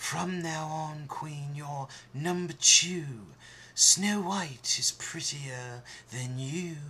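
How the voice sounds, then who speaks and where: Amid clear background noise, a man uses a put-on character voice at a very slow pace and a fairly high pitch. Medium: read story.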